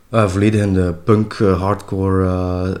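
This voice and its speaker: A man talks with a very deep, low pitch. His intonation stays monotone and flat. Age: 40s. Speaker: drummer. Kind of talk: interview. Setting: at home.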